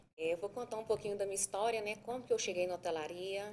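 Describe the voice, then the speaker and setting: Speaking at a medium pitch, a woman talks with a Minas Gerais accent. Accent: Brazilian Portuguese, mineiro. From Minas Gerais, Brazil (Sabará, near Belo Horizonte). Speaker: hotel manager. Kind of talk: podcast interview.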